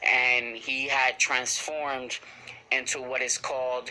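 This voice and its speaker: Noticeable background noise accompanies a very slow, monotone, flat delivery. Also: man. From Puerto Rican heritage. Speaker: anime reviewer. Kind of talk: casual episode review recap. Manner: halting, many fillers.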